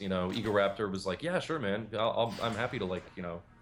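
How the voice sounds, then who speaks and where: A man speaks at a very fast pace with ordinary pitch variation. Background noise is noticeable. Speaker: game developer and animator. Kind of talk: casual chat.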